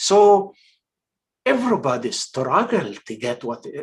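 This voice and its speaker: This man has a high pitch and very wide pitch swings, with an Egyptian accent. He talks at a very slow pace. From Egypt, Port Said. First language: Arabic. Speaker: actor and filmmaker. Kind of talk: casual interview. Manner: halting, many fillers.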